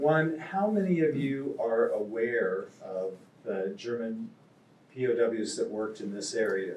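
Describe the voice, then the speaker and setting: Here a man speaks with a Midwestern US accent at a fairly slow pace. Room echo is audible. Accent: US Midwest. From Kansas. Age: 70s. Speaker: novelist. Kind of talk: talk to a live audience. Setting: stage with audience.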